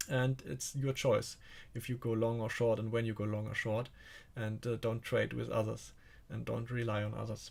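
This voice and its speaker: A man with a German accent speaks at medium pitch and a moderate pace, somewhat breathy. The recording is very clean, with a silent background. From Germany. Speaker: stock trading coach. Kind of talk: live stream market commentary. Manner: halting.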